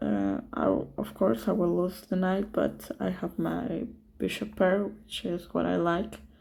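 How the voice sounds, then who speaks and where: Speaking very slowly with a non-native accent, a woman has a dark, mellow tone. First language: not English. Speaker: chess streamer commenting own games. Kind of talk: game commentary. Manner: hesitant, many fillers.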